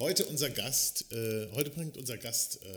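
A man talks in a plain, everyday voice. His pace is fairly slow, with ordinary pitch variation. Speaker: podcast host. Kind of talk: casual chat. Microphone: quieter after mic failure.

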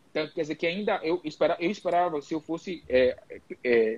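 Recorded dry and close with no echo, the voice shows ordinary pitch variation. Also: man. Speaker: geriatrician. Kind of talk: live panel discussion. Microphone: connection cutting out.

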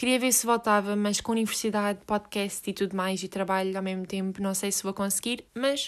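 A woman with a European Portuguese accent speaks at a moderate pace in a medium pitch with monotone, flat intonation. The recording is very clean, with a silent background. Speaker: podcast host. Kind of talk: solo monologue. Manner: halting, many fillers.

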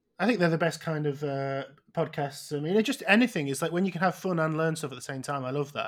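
Pitched fairly high, a man talks at a very fast pace. His pitch variation is ordinary. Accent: Manchester. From northern England, outside Manchester. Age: 30s. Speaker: comedian and podcast host. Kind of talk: casual chat. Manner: halting.

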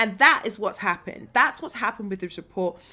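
In a southern English accent, a woman talks at a medium pitch with ordinary pitch variation and a bright, sharp tone, on a very clean recording with a silent background. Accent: southern English with some London. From Bedfordshire, England. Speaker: actress. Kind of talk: interview conversation.

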